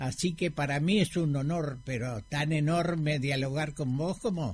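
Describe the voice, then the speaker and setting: Somewhat breathy, a man speaks at a fairly slow pace with a fairly high pitch and ordinary pitch variation. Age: 80s+. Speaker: former mayor. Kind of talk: radio interview. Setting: radio studio.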